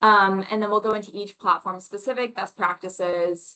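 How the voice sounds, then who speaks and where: A woman's fairly quick speech at a medium pitch, with a bright, sharp tone. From Florida (Orlando). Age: 20s. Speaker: mortgage loan officer, presenter. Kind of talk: webinar presentation. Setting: online webinar. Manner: conversational with many fillers.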